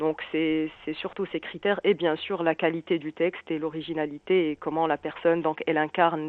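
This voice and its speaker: A woman speaks at a moderate pace in a fairly low pitch. It is an ordinary speaking voice. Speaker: founder of a slam poetry association, radio guest. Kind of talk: radio interview answer.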